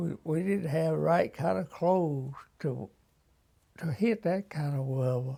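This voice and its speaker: In a very clean recording with a silent background, a man with an Alabama accent speaks at a fairly slow pace, his pitch fairly high, his tone dark and mellow, and his intonation lively. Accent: Southern US, Alabama. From US South, Alabama. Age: 90s. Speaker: war veteran. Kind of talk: interview. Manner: halting.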